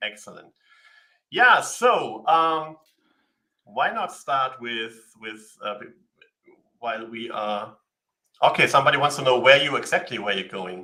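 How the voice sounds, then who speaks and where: With a German accent, the speaker moves at a fairly slow pace with long, frequent pauses, lively intonation and big swings in loudness. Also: man, medium pitch for a man. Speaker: livestream co-host. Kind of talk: casual live Q&A chat.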